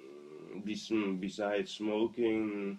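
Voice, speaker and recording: The speaker is a man. He talks with a Dutch accent. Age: 20s. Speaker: asthma patient interviewee. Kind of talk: interview. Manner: halting.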